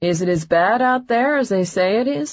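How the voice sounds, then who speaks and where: Putting on a character voice, a woman speaks at a moderate pace and medium pitch. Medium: read story. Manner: dry, joking.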